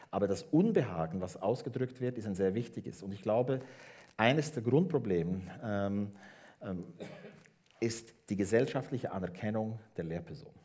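At a moderate pace, a man speaks in a fairly low, dark, mellow voice with lively intonation and long, frequent pauses. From Switzerland, Bernese Oberland; Switzerland. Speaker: education professor; guest. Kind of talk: public talk on stage. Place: hall. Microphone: headset.

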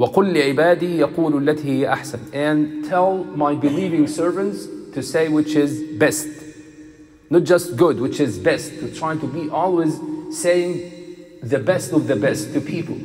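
A man speaks at a fairly slow pace with ordinary pitch variation. Faint music sits in the background. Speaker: imam. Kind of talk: sermon. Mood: calm, gentle. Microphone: headset.

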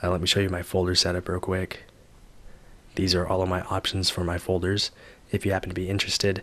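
The man's very deep, low voice races at a very fast pace in a monotone, flat intonation, broken by long, frequent pauses. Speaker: tech YouTuber. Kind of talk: tutorial.

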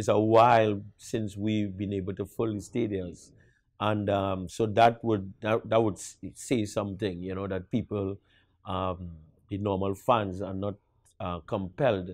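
In a Trinidadian accent, a man talks at a fairly slow pace and a fairly low pitch with monotone, flat intonation, and the sound is dry with no echo against a quiet background. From Trinidad and Tobago. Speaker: national football coach. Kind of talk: interview. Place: studio. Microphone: lapel.

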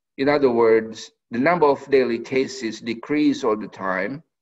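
A nasal man's voice at a medium pitch, fairly slow, with ordinary pitch variation

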